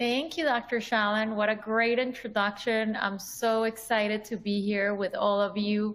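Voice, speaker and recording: With a Colombian accent, a woman talks at a moderate pace in a fairly high, monotone voice with flat intonation, very even loudness and hardly any pauses. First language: Spanish. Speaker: dermatologist. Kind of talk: lecture.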